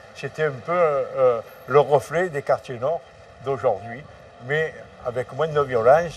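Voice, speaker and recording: A man at a very slow pace and fairly high pitch, with ordinary pitch variation and long, frequent pauses. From Marseille, France. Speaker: former gangster. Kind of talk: interview. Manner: halting.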